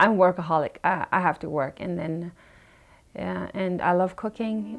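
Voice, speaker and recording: Female speech at a moderate pace, music playing behind it. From India. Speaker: restaurant owner. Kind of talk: interview.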